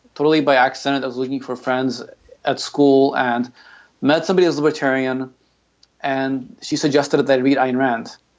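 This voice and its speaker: This man has an American accent and a fairly high pitch. He speaks at a moderate pace in an unremarkable speaking voice. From Ukraine, then San Antonio, Texas. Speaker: marketing director and software developer. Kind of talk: interview.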